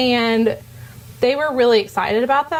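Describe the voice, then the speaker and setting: A woman speaks at a fairly quick pace with a fairly high pitch and an animated tone. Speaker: dietetic intern, student speaker. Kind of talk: informal talk to students. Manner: fast.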